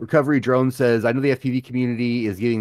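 A man at a very fast pace, in a very clean recording with a silent background. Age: 40s. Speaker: drone hobby podcast co-host. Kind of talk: casual live-stream chat.

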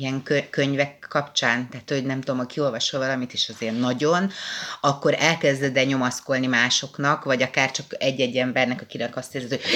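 Noticeable background noise sits behind the voice. A woman speaks with a very deep, low pitch. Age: 30s. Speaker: podcast co-host. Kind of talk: casual chat.

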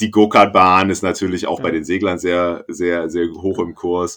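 The man's voice is pitched very deep and low. Nothing but silence sits behind this very clean recording. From northern Germany. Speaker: sailing podcast co-host. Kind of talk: casual chat.

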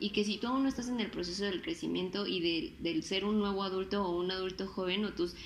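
At a medium pitch, a woman with a Mexican accent speaks at a moderate pace, with ordinary pitch variation. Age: 20s. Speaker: podcaster and designer. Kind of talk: casual chat. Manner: animated.

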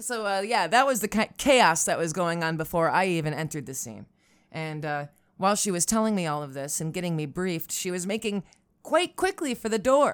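Speaking at a fairly quick pace with an American accent, a woman uses lively intonation at a medium pitch in a very clean recording with a silent background. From Upstate New York, Syracuse. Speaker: podcast host and storyteller. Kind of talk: solo storytelling monologue. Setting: home recording setup. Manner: rambling, self-deprecating, halting with fillers.

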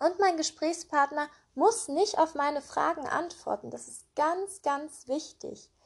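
A woman's calm, gentle tone at a very slow pace. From Germany, Cologne. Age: 20s. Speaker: podcast host. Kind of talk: personal monologue.

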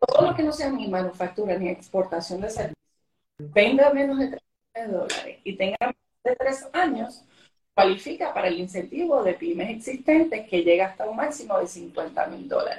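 A woman's fairly high, somewhat breathy voice with very wide pitch swings at a moderate pace. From Venezuela. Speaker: government economic development official. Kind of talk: interview on a live stream.

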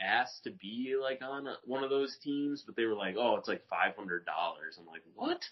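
A man speaks at a moderate pace with hardly any pauses. His loudness swings widely. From US Midwest, Rockford, Illinois. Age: 30s. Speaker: rollerblader. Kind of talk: casual chat. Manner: halting, many fillers.

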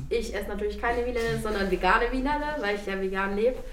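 A woman's fairly high-pitched voice with audible room echo. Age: 30s. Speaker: youth worker, educator. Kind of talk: casual group chat.

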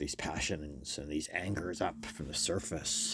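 The recording is very clean, with a silent background. A man speaks at a very deep, low pitch with vocal fry and ordinary pitch variation. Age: 50s. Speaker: magazine editor and podcast host. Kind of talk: casual solo monologue.

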